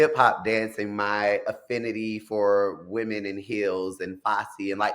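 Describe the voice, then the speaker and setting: Fairly low male speech on a very clean recording, background silent. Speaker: singer and entertainer. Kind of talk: interview.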